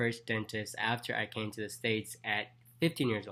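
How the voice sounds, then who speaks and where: At a fairly quick pace, a man talks at a medium pitch with a slight Jamaican accent. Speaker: dentist and vlogger. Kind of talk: casual vlog talk.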